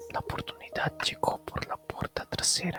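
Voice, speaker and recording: Someone whispers at a fairly slow pace while music plays in the background. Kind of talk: audiobook reading for relaxation. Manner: whispered.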